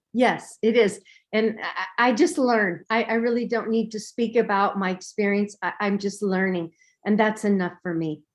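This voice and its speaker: A woman uses an ordinary speaking voice at a moderate pace, pitched fairly high with ordinary variation, against a quiet background. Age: 60s. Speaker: meditation participant. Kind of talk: testimony.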